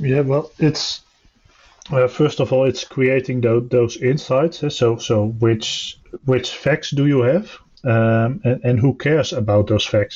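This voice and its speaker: Somewhat breathy and dark, mellow in tone, a man talks at medium pitch and a fairly slow pace, with ordinary pitch variation and very even loudness. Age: 30s. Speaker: software tester. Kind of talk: casual panel discussion. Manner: halting, many fillers.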